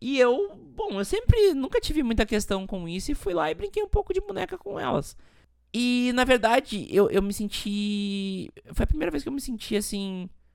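Lively in intonation, a woman with a fairly high pitch and a normal speaking voice talks at a moderate pace. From Rio Grande do Sul, Brazil. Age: 20s. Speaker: podcast host. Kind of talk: personal testimony monologue.

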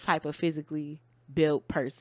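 The recording is very clean with a silent background as a woman speaks at a moderate pace. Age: 20s. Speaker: podcast co-host. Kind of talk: casual chat. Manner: articulate.

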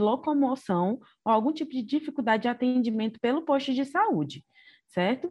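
Against a quiet background, a woman with a somewhat breathy voice speaks at a moderate pace. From Ceará, Brazil. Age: 20s. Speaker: doctor. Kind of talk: casual interview.

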